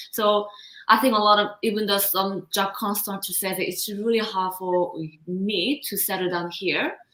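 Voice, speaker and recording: Speaking with a Korean accent, a woman uses a bright, sharp tone at a medium pitch. Her pace is moderate and her intonation fairly even. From South Korea. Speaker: confidence coach. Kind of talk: interview.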